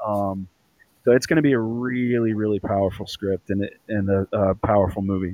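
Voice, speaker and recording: A man with fairly even intonation talks fairly quickly in a plain, everyday voice. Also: fairly low pitch for a man. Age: 40s. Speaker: actor and producer. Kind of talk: casual interview.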